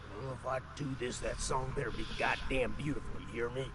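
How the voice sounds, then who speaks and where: A man puts on a gruff character voice at a medium pitch with ordinary pitch variation, with clear background noise behind him. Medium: video game. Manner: gruff, cursing.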